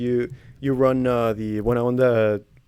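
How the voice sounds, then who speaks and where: A man with a Spanish accent speaks in a dark, mellow tone with monotone, flat intonation. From Mexico, raised in the US from age four. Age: 20s. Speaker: comedian and interviewer. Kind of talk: casual interview. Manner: hesitant, many fillers.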